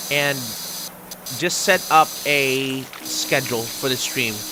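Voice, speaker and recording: The speaker has a non-native accent, with noticeable noise in the background. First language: not English. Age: 30s. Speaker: gaming streamer. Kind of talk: casual live-stream monologue while gaming. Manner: hesitant, many ums and ahs.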